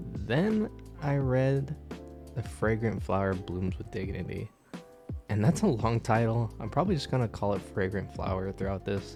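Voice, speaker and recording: Over music in the background, a man talks at a fairly slow pace with a fairly low pitch. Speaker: anime and manga reviewer. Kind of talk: video essay review narration.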